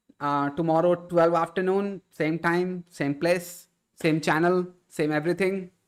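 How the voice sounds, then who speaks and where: High-pitched male voice with an Indian accent, moderate pace, very clean recording over a silent background. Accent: Indian, slightly affected by Jharkhand. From India, Kolkata. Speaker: live streamer, IT content creator. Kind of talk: casual live stream chat. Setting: live stream.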